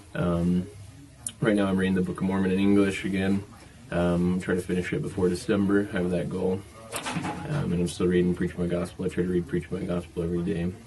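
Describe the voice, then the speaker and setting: A man with a very deep, low pitch and an American accent, fairly quick pace and fairly even intonation, over noticeable background noise. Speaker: missionary. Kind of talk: casual video message. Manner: hesitant with many fillers.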